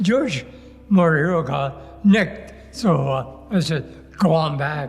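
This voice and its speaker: A man with an American accent at a very slow pace, over noticeable background noise. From US Pacific Northwest, Bellevue, Washington. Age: 90s. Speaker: war veteran. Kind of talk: oral history interview. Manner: halting, many hesitations.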